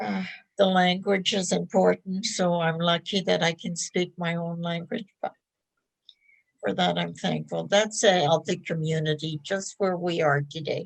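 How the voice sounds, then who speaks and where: At a fairly slow pace, a somewhat breathy voice speaks with ordinary pitch variation. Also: woman, fairly low pitch for a woman. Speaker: elder. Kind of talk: reflective talk.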